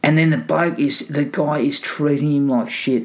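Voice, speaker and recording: The pace is moderate. The voice comes with an Australian accent. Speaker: movie podcast host. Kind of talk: casual chat. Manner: casual, joking, swears.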